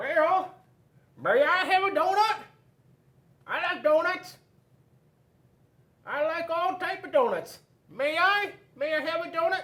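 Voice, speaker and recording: A man puts on a character voice at an extremely high pitch. He goes at a fairly slow pace with long, frequent pauses. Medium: read story. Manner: eager, polite.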